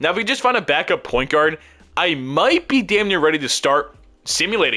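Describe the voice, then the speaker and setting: Speaking fairly quickly, a man uses a high, bright, sharp voice with very wide pitch swings. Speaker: gaming YouTuber. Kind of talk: gameplay commentary. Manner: fast; casual, thinking aloud.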